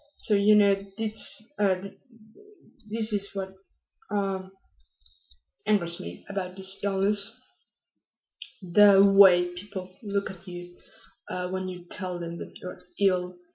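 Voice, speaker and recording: With a non-native accent, the speaker talks at a very slow pace in a monotone, flat intonation, leaving long, frequent pauses. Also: woman, medium pitch for a woman. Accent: foreign. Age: young. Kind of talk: casual talk to camera.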